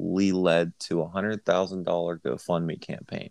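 Recorded with a dry, close sound with no echo, a man speaks over a quiet background. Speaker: podcast co-host. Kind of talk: casual chat. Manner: calm and slow.

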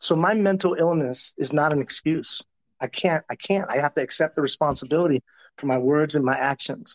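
A man with a Southwestern US accent, fairly high pitch, ordinary pitch variation and very even loudness. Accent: American, Southwestern US. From Tucson, Arizona. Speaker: professional development expert. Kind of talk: interview conversation.

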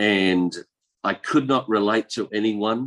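A man with an Australian accent talks at a fairly slow pace and a fairly low pitch. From Australia, rural east coast. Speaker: pastor and missionary. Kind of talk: testimony interview.

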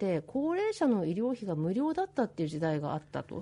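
The woman's tone is dark and mellow, set at medium pitch. Her pitch swings very widely as she moves at a moderate pace. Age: 40s. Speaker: radio host and physician. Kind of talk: casual radio interview.

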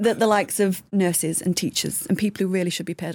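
With a Yorkshire accent and vocal fry, the speaker goes at a very fast pace with fairly even intonation. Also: woman. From Yorkshire, England. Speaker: digital marketing executive. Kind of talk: casual chat.

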